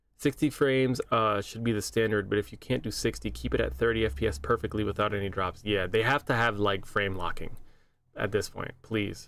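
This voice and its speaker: Fairly low in pitch and showing vocal fry, a man talks at a fairly quick pace with ordinary pitch variation. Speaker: gaming streamer. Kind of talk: casual live stream chat. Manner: casual, many fillers and repeats.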